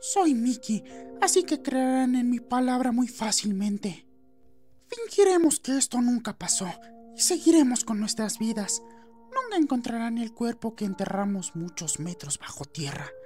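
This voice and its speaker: With clear music in the background, someone does a put-on character voice at a fairly high pitch and a moderate pace. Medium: dub.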